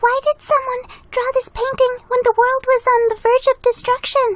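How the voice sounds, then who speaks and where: Doing a put-on character voice, a woman speaks at a moderate pace in a squeaky, extremely high pitch with monotone, flat intonation and big swings in loudness, with a dry, close sound and no echo. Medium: fan dub.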